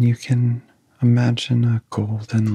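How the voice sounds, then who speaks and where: A soft-spoken, somewhat breathy man with a dark, mellow tone at a very slow pace. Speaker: meditation guide. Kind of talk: guided sleep hypnosis. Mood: calm, soothing. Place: home room.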